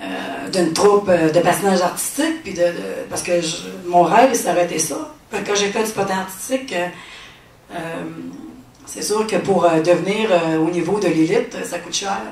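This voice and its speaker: A woman talks at a fairly low pitch, leaving long, frequent pauses. Noticeable background noise and an audible room echo come through. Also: ordinary pitch variation, moderate pace. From Quebec City. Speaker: testimony speaker. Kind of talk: testimony. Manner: halting, many fillers.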